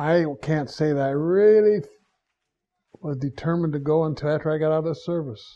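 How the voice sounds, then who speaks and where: A man with an American accent speaks at a moderate pace, his pitch fairly high for a man. The tone is dark and mellow, somewhat breathy, with ordinary pitch variation. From Ohio. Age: 80s+. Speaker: university alumnus. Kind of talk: oral history interview.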